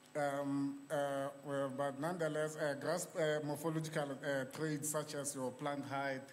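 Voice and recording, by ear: In a room with audible echo, a man speaks at a fairly slow pace, his fairly high pitch showing little movement.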